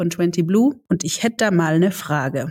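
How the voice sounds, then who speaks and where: A woman at a moderate pace. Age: 40s. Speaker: podcast host and entrepreneur. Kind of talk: interview.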